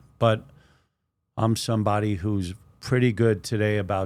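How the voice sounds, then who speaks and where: A man with a fairly low voice speaks at a fairly slow pace in a monotone, with flat intonation. The recording is very clean, with a silent background. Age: 60s. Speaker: former prisoner turned poet and community advocate. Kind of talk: interview.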